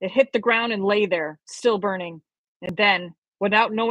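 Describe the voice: Quiet background, plain reading aloud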